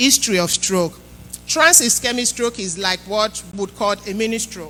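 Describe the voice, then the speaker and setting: Music in the background behind a woman's voice, medium in pitch, moderate in pace, ordinary in pitch variation. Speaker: health educator. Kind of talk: health talk to church congregation.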